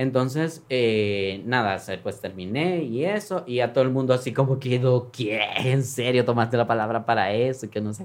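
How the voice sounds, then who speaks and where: The speaker has an ordinary speaking voice, moving at a moderate pace with hardly any pauses. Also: man, medium pitch for a man, ordinary pitch variation. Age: 30s. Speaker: congressman. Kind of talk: interview, personal story.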